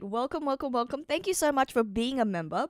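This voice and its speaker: The pitch swings very widely. The recording is very clean with a silent background, and the sound is dry and close with no echo. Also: woman. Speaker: streamer. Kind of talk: live stream chat.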